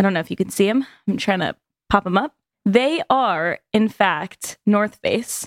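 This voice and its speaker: A woman with a normal speaking voice, medium pitch, lively intonation and a fairly slow pace. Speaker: podcast co-host. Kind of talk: casual chat. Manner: casual, talks over partner.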